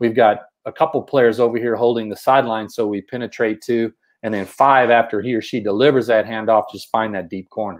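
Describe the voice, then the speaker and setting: A man talks at medium pitch with a Texas accent. His pace is fairly quick and his intonation fairly even. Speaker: basketball coach and show co-host. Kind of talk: coaching discussion explaining plays. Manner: repeats words, many false starts.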